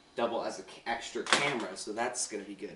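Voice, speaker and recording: Moderate pace with audible room echo. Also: man. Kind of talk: casual vlog chat. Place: kitchen. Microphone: camera far.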